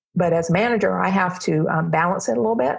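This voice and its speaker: A woman speaks at a moderate pace, her voice fairly low in pitch. Her delivery is somewhat breathy. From US South, Alabama (Montgomery). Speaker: aerospace project manager. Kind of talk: interview. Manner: hesitant, many fillers.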